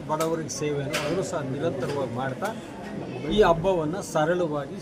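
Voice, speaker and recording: A man talks with a high voice while noticeable background noise and audible echo from the room fill the recording. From Karnataka, Magadi area. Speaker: community organization leader and activist. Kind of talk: press interview.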